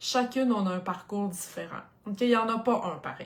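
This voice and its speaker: A woman speaks in a Quebec accent with an animated tone and ordinary pitch variation. Noticeable background noise sits behind her. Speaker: craft product demonstrator. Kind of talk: live stream product presentation. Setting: live video stream.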